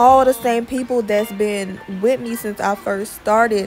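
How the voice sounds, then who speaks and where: A woman speaks at a fairly slow pace with fairly even intonation while music plays in the background. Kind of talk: casual vlog chat. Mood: grateful, relaxed.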